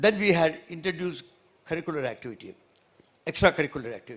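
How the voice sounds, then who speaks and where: A man talks at a very fast pace. His fairly high voice carries lively intonation. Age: 80s+. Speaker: former minister. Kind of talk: public speech. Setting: stage with audience. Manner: halting.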